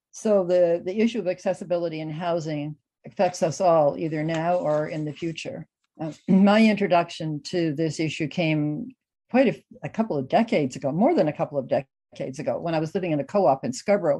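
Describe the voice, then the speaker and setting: Against a quiet background, a voice with a dark, mellow tone speaks in a Canadian accent with ordinary pitch variation. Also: woman, fairly low pitch for a woman, fairly quick pace. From Canada, Ontario. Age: 80s+. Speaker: housing accessibility advocate. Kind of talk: recorded conference talk. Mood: earnest, advocating. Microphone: webcam.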